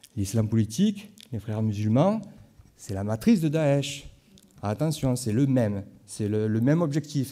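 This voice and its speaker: A man with a Marseille accent speaks at a moderate pace in a dark, mellow tone with lively intonation. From southern France, Marseille (Corsican roots). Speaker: historian and lecturer. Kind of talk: conference talk. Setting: conference hall with audience. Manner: hesitant, with frequent fillers and repetitions.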